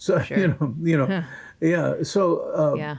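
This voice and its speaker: A dark, mellow, somewhat breathy voice with an American accent, ordinary pitch variation and a moderate pace over a quiet background. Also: man. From Massachusetts. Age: 80s+. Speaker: bluegrass musician. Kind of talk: interview answer. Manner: rambling, conversational.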